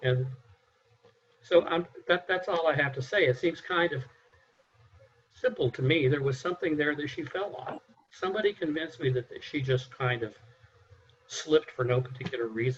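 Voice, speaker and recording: A man speaks at a moderate pace, fairly high pitched and somewhat breathy, with ordinary pitch variation. He leaves long, frequent pauses. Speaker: mock juror. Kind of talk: jury deliberation.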